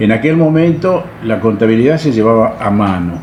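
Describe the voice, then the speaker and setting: A man with a medium pitch speaks with lively intonation in a Rioplatense accent, with audible room echo and noticeable background noise. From Argentina, Buenos Aires. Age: 80s+. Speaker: retired salesman. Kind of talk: interview.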